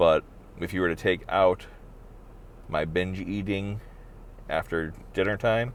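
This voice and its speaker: Mumbling at a fairly slow pace, a man with a very deep, low pitch keeps his intonation fairly even and leaves long, frequent pauses. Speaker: vlogger. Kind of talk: personal video diary. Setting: in a car.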